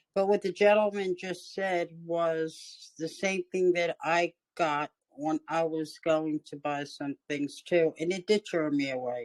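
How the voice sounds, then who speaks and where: A woman with an ordinary speaking voice, fairly low in pitch, with ordinary pitch variation, at a fairly slow pace, in a dry, close sound with no echo. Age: 60s. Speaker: workshop participant. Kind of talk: casual chat.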